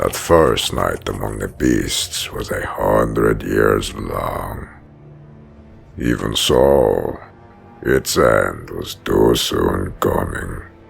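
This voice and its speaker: A man puts on a raspy character voice with a very deep, low pitch. He speaks at a very slow pace, with clear music in the background. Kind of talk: audio drama narration.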